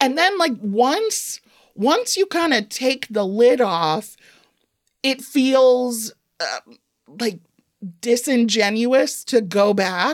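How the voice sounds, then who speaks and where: A woman with an American accent speaks at a very slow pace in a high voice, her lively intonation broken by long, frequent pauses, on a very clean recording with a silent background. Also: dry, close sound with no echo. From Evanston, Illinois. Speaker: humorist author. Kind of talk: casual interview. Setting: studio.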